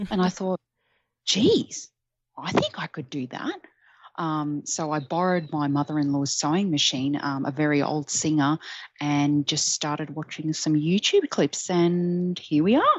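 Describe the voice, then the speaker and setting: A woman's very deep, low voice in an Australian accent, fairly slow and with fairly even intonation. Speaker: Etsy shop owner. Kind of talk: interview.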